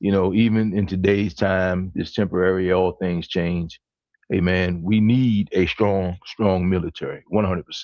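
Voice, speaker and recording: Speaking at a moderate pace, a man uses a very deep, low pitch with monotone, flat intonation. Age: 60s. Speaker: panel discussion host. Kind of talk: casual panel discussion.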